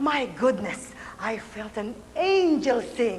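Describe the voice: A woman at a slow pace, fairly high in pitch, with big pitch swings.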